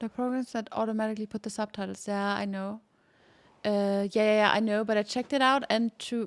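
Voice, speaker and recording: A woman with a normal speaking voice and a fairly high pitch talks at a moderate pace with fairly even intonation, in a dry, close recording with no echo that is very clean over a silent background. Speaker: gaming streamer. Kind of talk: casual live stream chat. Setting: live stream.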